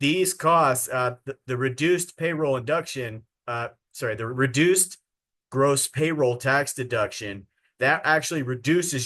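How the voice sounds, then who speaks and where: A man with an unremarkable speaking voice talks at a fairly slow pace against a quiet background. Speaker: sales trainer. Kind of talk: training webinar.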